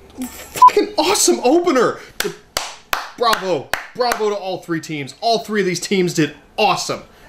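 Loud background noise surrounds a man with a high pitch. He speaks at a moderate pace with long, frequent pauses. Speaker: wrestling fan reviewer. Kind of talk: angry rant reacting to a wrestling match, indignant and cursing; video reaction/review. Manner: animated, loud, exasperated and sarcastic. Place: home room. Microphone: camera far.

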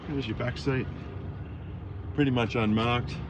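The pace is moderate while loud background noise plays underneath. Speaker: car salesman. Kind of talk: sales walkaround commentary. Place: street. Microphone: phone near.

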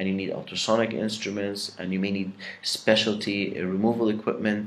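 A man with an Arabic accent speaks at a moderate pace. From Egypt. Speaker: dentistry professor. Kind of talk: lecture. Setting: pre-recorded lecture. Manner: halting with many fillers. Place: home room. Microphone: webcam.

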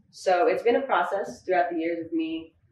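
A woman's voice with ordinary pitch variation, audible room echo, and light background noise. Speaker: guest. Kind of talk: interview answer. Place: home room.

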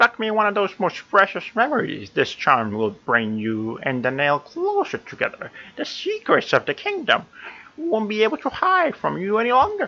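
A man's put-on character voice, high in pitch. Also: moderate pace. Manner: put-on affected voice.

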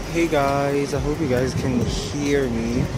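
Loud background noise surrounds a woman's voice, the sound itself dry with no echo. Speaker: vlogger. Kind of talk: casual vlog chat. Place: street. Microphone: phone near.

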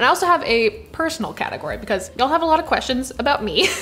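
Over faint background music, a woman talks at a very fast pace with an extremely high pitch. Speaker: barista content creator. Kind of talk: casual Q&A vlog chat. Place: kitchen.

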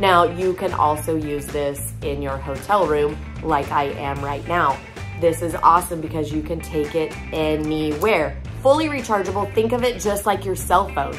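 Her pace is moderate. A woman talks while clear music sounds in the background. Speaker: product seller. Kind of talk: product demo vlog chat. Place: home room. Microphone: phone near.

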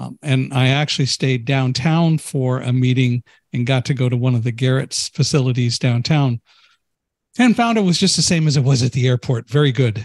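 Somewhat breathy and with fairly even intonation, a man talks at a moderate pace in a dry sound with no echo over a quiet background. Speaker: podcast host. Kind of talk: interview. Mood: warm, cheerful. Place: home room. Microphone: studio mic.

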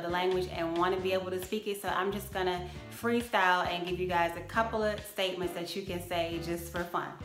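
Clear music plays behind a woman speaking. Her pitch variation is ordinary. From Jamaica. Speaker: vlogger. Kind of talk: casual talk to camera. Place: home room. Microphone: phone near.

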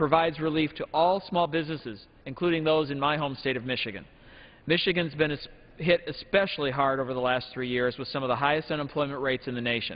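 Speaking at a very fast pace, a man shows ordinary pitch variation. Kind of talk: formal floor speech. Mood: firm, persuasive. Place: hall. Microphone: podium.

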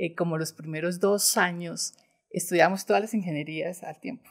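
A woman with a normal speaking voice, fairly low in pitch, at a moderate pace with ordinary pitch variation, against a quiet background. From Bogotá, Colombia. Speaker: bank executive; guest. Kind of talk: interview. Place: studio. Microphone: studio mic.

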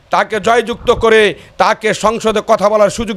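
A man speaks in a high pitch with a flat, monotone delivery. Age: 50s. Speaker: local political activist. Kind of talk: interview testimony. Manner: halting.

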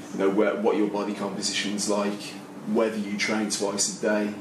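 A man talks at a fairly quick pace. Noticeable background noise runs behind him. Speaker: panelist. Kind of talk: panel discussion answer. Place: meeting room.

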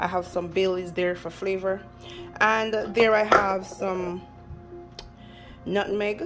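A woman speaks very slowly in a fairly low pitch. Music plays clearly in the background. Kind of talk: casual cooking tutorial. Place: kitchen. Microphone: phone near.

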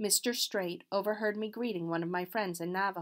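Someone reads in an unforced reading voice. Their intonation is fairly even.

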